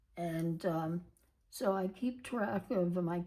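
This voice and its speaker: Her tone is dark and mellow. The woman sounds somewhat breathy. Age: 80s+. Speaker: planner video creator. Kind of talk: tutorial. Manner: halting.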